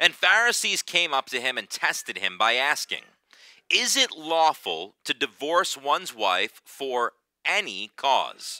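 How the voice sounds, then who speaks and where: Here a man speaks at a fairly slow pace with vocal fry, in a dry sound with no echo. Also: quiet background. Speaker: preacher. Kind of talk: sermon. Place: church.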